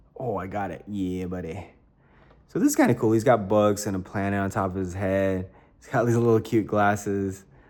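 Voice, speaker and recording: A man speaks softly at a fairly low pitch. His intonation stays fairly even. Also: moderate pace, big swings in loudness. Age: 30s. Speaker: toy collector YouTuber. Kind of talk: unboxing review. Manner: soft-spoken; casual with many fillers.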